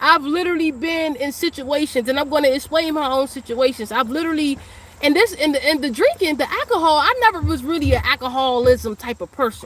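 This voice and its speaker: A high-pitched woman at a fairly quick pace, lively in intonation, over noticeable background noise. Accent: American. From Washington, D.C. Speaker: spiritual teacher and psychic reader. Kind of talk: livestream monologue. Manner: fast; casual.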